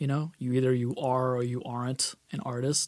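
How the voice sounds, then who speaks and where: An unremarkable speaking voice, from a man at medium pitch. He keeps a moderate pace. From Boston. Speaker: rock guitarist and record producer. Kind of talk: casual interview.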